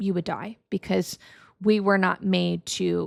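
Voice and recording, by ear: A woman speaks with a fairly low pitch, vocal fry and little pitch movement. The recording is very clean, with a silent background.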